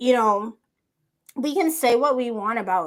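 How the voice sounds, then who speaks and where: In an ordinary speaking voice, a woman with an American accent speaks at a fairly high pitch with lively intonation on a very clean recording with a silent background. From USA. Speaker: podcast host. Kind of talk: casual interview chat.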